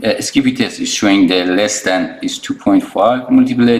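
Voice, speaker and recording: Noticeable background noise sits behind the speech. A man with a non-native accent talks at a moderate pace. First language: not English. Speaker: phone repair technician. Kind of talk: tutorial. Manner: halting, many fillers and restarts.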